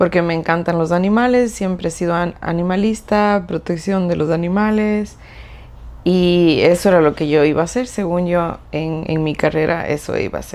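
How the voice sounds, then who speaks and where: Fairly low pitch from a woman at a moderate pace, her intonation fairly even. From Ecuador (Cuenca). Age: 30s. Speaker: clinical psychologist. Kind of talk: podcast interview. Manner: hesitant, many fillers.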